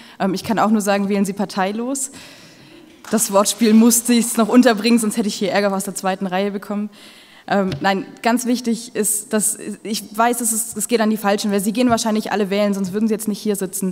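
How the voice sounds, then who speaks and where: A woman speaks fairly quickly in a fairly high, flat monotone. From Ulm, Swabia, southern Germany; Swabia. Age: 20s. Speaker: mayoral candidate; candidate. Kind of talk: campaign speech. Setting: public event with audience. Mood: earnest, lightly humorous. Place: hall. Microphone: podium.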